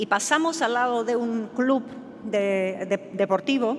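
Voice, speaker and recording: In a Czech accent, a woman with a fairly high voice and ordinary pitch variation speaks at a very slow pace with audible room echo. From Czechoslovakia (Czech Republic). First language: Czech (speaking Spanish). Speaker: professor. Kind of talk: conference talk. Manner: halting, many fillers and repetitions.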